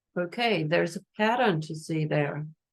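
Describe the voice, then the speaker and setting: A woman speaks with a German accent. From Germany. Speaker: energy healer. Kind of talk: guided meditation; masterclass talk. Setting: Instagram live stream. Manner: hesitant, many fillers.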